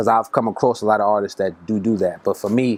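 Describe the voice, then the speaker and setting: A man with a Brooklyn accent talks at a fairly quick pace, his intonation fairly even. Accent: New York (Brooklyn). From Brooklyn, New York. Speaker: rapper. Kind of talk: interview. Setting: recording studio. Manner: casual, filler-heavy.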